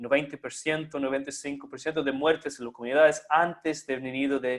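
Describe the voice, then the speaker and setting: A fairly high-pitched man with a non-native accent. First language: not Spanish (speaking Spanish). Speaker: conference speaker. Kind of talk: lecture. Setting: online live stream. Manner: halting.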